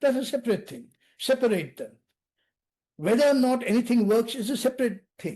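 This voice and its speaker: A man with an Indian accent speaks at an extremely high pitch with a dark, mellow tone. His pace is fairly quick, and his pitch varies in an ordinary way. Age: 70s. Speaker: national security expert. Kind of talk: podcast interview. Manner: animated.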